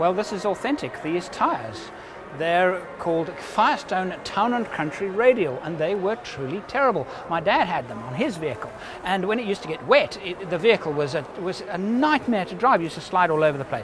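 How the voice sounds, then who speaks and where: Clear music plays behind a man who speaks at a fairly quick pace. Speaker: vlogger presenter. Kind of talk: casual vlog commentary. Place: hall. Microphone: phone near.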